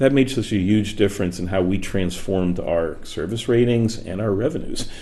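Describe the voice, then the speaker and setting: A man's fairly low voice with ordinary pitch variation and audible room echo. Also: moderate pace. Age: 60s. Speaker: author and workplace speaker. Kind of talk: interview conversation. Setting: studio.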